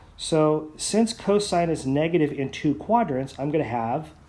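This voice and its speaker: A man with a fairly high pitch, a fairly slow pace and lively intonation, amid audible room echo. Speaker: math teacher. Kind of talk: lecture.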